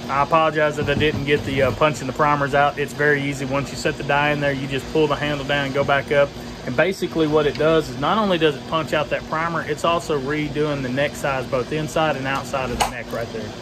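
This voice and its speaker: Clear music plays in the background. The speech comes at a very fast pace. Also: man. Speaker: homestead vlogger. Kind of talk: casual vlog chat. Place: garage. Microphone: phone near.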